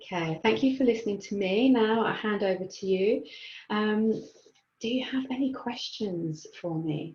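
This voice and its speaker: Calm in tone and somewhat breathy, a woman speaks at a fairly high pitch and a fairly slow pace. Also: ordinary pitch variation. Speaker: mental health and mindfulness trainer. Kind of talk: webinar presentation. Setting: online webinar.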